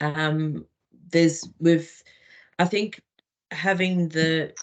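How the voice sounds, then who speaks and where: A woman's very deep, low voice. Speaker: regional lead. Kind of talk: online meeting remarks. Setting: video call. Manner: slow.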